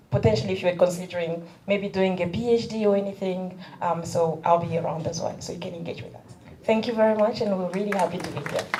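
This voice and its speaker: With audible room echo and noticeable background noise, a woman talks very fast at a medium pitch, with ordinary pitch variation and big swings in loudness. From DR Congo. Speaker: university international officer. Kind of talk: introductory remarks at event.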